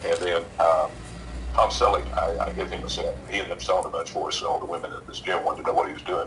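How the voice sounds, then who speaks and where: A man talks at a very fast pace. Noticeable background noise runs under him. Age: 70s. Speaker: inventor and nutrition expert. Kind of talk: interview. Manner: halting, many fillers.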